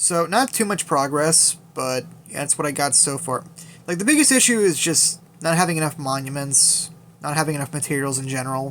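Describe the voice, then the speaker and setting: A man talks fairly quickly, his fairly high voice showing ordinary pitch variation. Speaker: gaming YouTuber. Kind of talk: game account showcase. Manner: fast; casual, filler-heavy.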